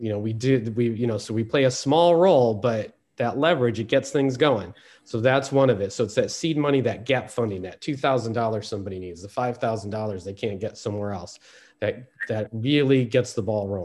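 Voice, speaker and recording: A man talks in an ordinary speaking voice at a medium pitch and moderate pace. His pitch variation is ordinary, and the background is quiet. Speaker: speaker on peacebuilding history.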